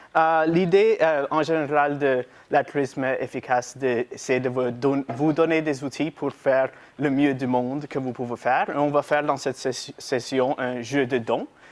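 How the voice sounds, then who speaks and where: Against a quiet background, a man talks at a fairly slow pace in a fairly high pitch with fairly even intonation. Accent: non-native. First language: not French (speaking French). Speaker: workshop presenter, intern. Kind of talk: lecture. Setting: university lecture room with audience. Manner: halting, reading from notes.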